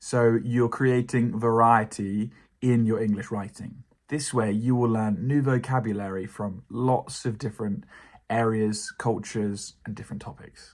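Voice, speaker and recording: A man with a British accent, medium pitch, ordinary pitch variation and a fairly slow pace, on a very clean recording with a silent background. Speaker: English teacher. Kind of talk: educational talk to camera.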